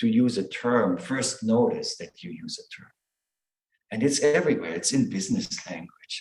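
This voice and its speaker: Moderately paced, a man talks. He has a non-native accent. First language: not English. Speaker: Zen teacher. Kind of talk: dharma talk. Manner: halting.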